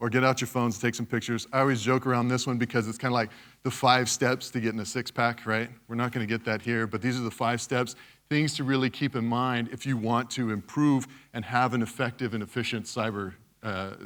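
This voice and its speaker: A man with an American accent speaks fairly quickly in a medium pitch and a monotone, flat intonation, on a very clean recording with a silent background. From West Texas, US. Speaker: cybersecurity speaker. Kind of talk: conference talk. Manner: casual, conversational.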